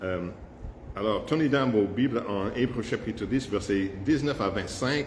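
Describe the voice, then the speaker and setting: In an English accent, a man of medium pitch speaks at a fairly slow pace with ordinary pitch variation and audible room echo. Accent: English-speaking accent in French. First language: English (speaking French). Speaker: pastor. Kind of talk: sermon. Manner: halting, frequent hesitations.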